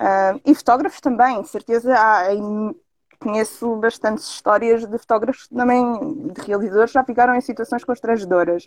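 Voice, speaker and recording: Her loudness swinging widely, a woman with a fairly high pitch speaks at a moderate pace with ordinary pitch variation in a dry, close sound with no echo. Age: 30s. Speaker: adult content performer and model. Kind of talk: casual interview on live stream.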